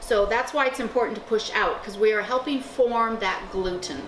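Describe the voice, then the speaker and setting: Over music in the background, a woman with a fairly high voice talks at a fairly quick pace with ordinary pitch variation. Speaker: cooking channel host. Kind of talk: cooking show instruction to camera.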